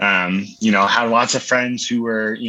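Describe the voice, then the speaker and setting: A man at medium pitch with fairly even intonation, amid noticeable background noise. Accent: American. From Florida, Orlando. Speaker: pharmacist and barbecue cook. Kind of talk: casual interview chat.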